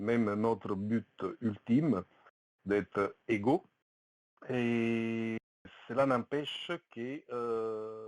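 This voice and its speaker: In a dry, close sound with no echo, a man speaks at a medium pitch with an Italian accent and fairly even intonation. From Italy. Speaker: participant in an online community discussion. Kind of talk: testimony. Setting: voice chat on Discord. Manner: halting, many hesitations.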